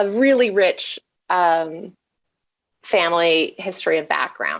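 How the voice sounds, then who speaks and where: A woman with a Canadian accent speaks at a very slow pace. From Canada, Montreal. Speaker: psychologist, program director. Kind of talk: conference talk. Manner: halting, many fillers.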